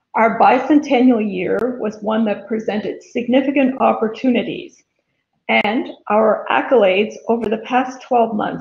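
A woman speaks with vocal fry, and audible room echo surrounds her voice. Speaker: chamber chair giving report. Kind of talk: formal report speech. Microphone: webcam.

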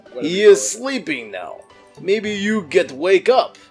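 A put-on character voice at middle pitch goes at a fairly slow pace, with faint music in the background.

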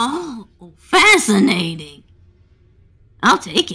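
A female-sounding, put-on character voice sits fairly high and swings very widely in pitch. She talks at a very slow pace.

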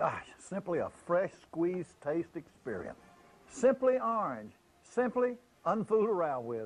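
Faint music plays in the background. A man with a high voice talks at a fairly slow pace. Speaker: football coach endorser. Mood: warm, folksy. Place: office.

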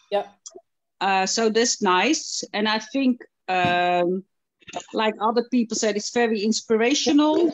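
In a plain, everyday voice, a woman speaks at a fairly slow pace with a fairly high pitch and lively intonation, and the sound is dry with no echo. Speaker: dog obedience competitor. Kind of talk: casual chat. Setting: video call. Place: home room.

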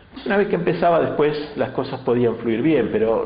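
A man is speaking. Room echo is audible. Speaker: interviewee. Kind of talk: interview answer. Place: meeting room.

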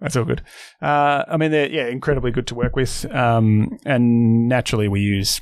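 In an Australian accent, the speaker talks at a moderate pace with ordinary pitch variation on a very clean recording with a silent background. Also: man, medium pitch for a man. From Melbourne, Australia. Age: 40s. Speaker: financial advice firm founder. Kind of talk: casual interview. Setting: office.

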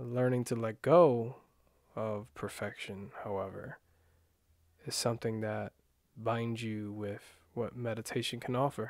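In a calm, soft-spoken tone, a man speaks at a medium pitch and a fairly slow pace, with fairly even intonation and long, frequent pauses, in a dry sound with no echo against a quiet background. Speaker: meditation guide. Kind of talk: guided meditation. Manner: calm, unhurried, soft-spoken guiding; hesitant, self-correcting, casual. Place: home room.

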